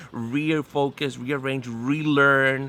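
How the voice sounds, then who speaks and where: His pitch sits in the medium range. The man's intonation is fairly even. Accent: Spanish. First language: Spanish. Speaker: pastor. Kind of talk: interview conversation. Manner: halting.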